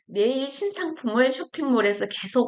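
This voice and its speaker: A woman speaks in a high voice at a fairly slow pace. Her pitch swings very widely. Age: 60s. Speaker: retired YouTuber, former online seller. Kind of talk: casual vlog talk. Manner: halting, with fillers and self-corrections.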